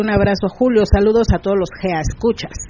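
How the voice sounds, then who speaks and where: A woman with a plain, everyday voice speaks at a fairly quick pace with ordinary pitch variation. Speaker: radio host. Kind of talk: casual chat.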